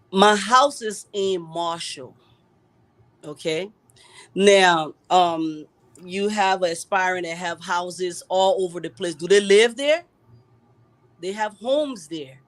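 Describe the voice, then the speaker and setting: A woman in an American accent at a very slow pace, medium in pitch with ordinary pitch variation, long, frequent pauses and big swings in loudness. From US, raised from childhood. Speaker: political candidate. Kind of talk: live talk show interview. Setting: live online stream.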